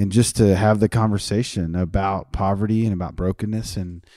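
A man with a slight Texas accent talks at a fairly quick pace in a fairly low, dark, mellow voice. The recording is very clean, with a silent background. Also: fairly even intonation. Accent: American, slight Texas twang.

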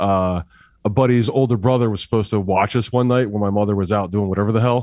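Here is a man with a New Jersey accent. His pitch sits fairly low. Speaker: band musician. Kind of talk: casual interview. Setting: video call.

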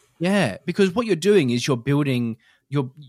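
In an ordinary speaking voice, a man talks fairly quickly with lively intonation, in a dry, close sound with no echo. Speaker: podcast host. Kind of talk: casual chat. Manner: chatty, laughs often.

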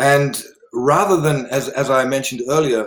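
This man speaks with an Australian accent and a fairly high pitch. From South Australia, River Murray region. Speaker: meditation and sound healing teacher. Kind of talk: interview conversation.

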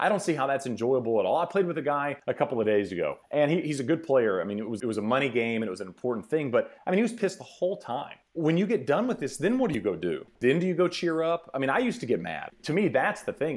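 In an American accent with vocal fry, the speaker talks at a very fast pace with hardly any pauses and very wide pitch swings, on a very clean recording with a silent background. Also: man, fairly high pitch for a man. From Texas. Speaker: golf reporter and TV broadcaster. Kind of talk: casual interview chat.

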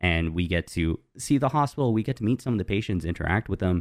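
The sound is dry and close, free of echo. A man talks with lively intonation. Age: 20s. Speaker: podcast host, fundraising platform community manager. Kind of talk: casual chat.

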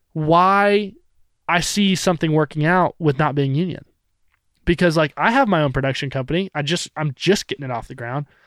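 With an American accent, a man speaks in a fairly high voice with ordinary pitch variation, the sound dry and close with no echo and the recording very clean over a silent background. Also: fairly quick pace. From Northern California. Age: 20s. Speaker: cinematographer. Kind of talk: casual chat. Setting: studio. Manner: animated.

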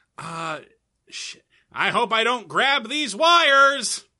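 A man puts on a character voice, nasal and pitched extremely high. He projects loudly while speaking at a very slow pace. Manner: panicking.

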